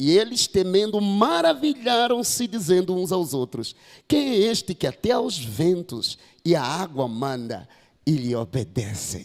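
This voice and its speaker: A man with a Mozambican accent talks at a fairly slow pace in a high pitch, his voice making very wide pitch swings. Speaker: pastor. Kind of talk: sermon.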